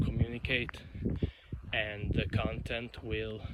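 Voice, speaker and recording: A man with an Italian accent at a very slow pace, fairly low in pitch, with vocal fry and monotone, flat intonation. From Italy. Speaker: YouTuber. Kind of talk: unscripted monologue vlog. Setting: outdoors walking in countryside. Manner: halting, self-correcting.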